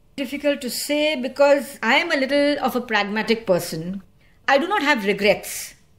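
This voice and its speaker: A woman's high voice carries lively intonation at a moderate pace. There is noticeable background noise. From India, Goa. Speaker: environmental activist and lawyer. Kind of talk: interview. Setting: studio.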